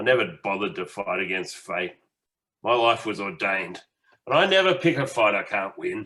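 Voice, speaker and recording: A man speaks at a moderate pace in a raspy, put-on character voice. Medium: stage play. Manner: laconic, sardonic, fatalistic.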